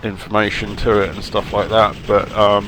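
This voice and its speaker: A man speaks at a fairly low pitch and a moderate pace. There is noticeable background noise. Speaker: gaming YouTuber. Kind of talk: casual channel update. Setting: home office. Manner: halting, many fillers.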